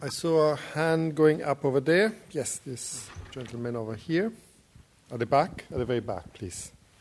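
Speaking at a moderate pace, a man has a fairly high pitch and an ordinary speaking voice. His intonation is lively. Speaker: program director, event chair. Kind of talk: introducing speaker and moderating. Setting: lecture hall with audience.

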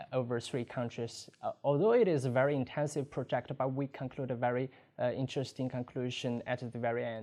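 A Chinese accent at a fairly quick pace. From China. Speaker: student. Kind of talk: testimonial.

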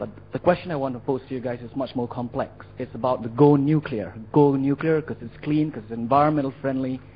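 Amid noticeable background noise, a man talks very fast at a medium pitch with fairly even intonation and big swings in loudness. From India. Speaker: audience member asking question. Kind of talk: audience question. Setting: lecture hall with audience.

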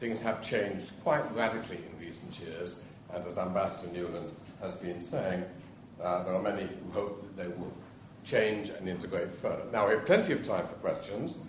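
A man with an English accent speaks at a moderate pace and a fairly low pitch with ordinary pitch variation. Audible room echo and noticeable background noise are present. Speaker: professor. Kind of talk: event moderation.

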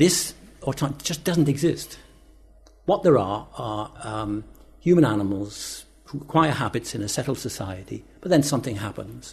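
Music plays in the background as a man speaks at a moderate pace and medium pitch, his voice swinging very widely in pitch. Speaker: professor and author. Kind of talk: panel discussion.

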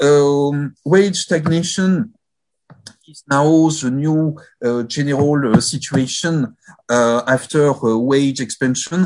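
A man with a French accent talks at a very slow pace, leaving long, frequent pauses. His loudness swings widely. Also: fairly high pitch for a man, ordinary pitch variation. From France. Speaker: sociology professor. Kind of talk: academic presentation. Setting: video call.

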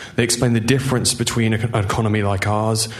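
A man at a very fast pace with monotone, flat intonation, amid noticeable background noise. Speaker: audience member, former student. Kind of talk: audience question. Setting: stage with audience, microphone in hall.

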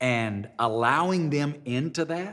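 A man in a Southern US accent, with ordinary pitch variation. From Alabama. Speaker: pastor. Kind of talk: interview. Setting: studio.

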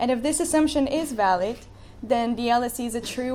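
A woman with a Bulgarian accent talks in a dark, mellow tone. Her pace is fairly quick and her intonation fairly even. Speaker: student. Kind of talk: speech. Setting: stage with audience.

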